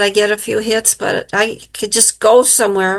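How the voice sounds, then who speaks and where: A woman with an American accent, fairly high in pitch, over a quiet background. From US Midwest, Illinois. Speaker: psychic medium and author. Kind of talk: interview testimony.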